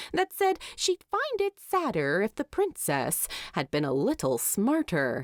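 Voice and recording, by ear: A woman's very wide pitch swings at a fairly slow pace, dry and close with no echo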